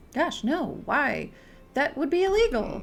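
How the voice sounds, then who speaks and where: A man adopts a put-on character voice, pitched extremely high and delivered at a fairly slow pace. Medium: game stream. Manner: polite, earnest.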